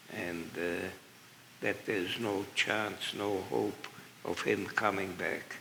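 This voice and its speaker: Audible room echo surrounds a man whose fairly low voice has a bright, sharp tone, fairly even intonation and a very slow pace. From Germany, Berlin. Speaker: Holocaust survivor and magician. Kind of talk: Q&A interview. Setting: museum stage with audience.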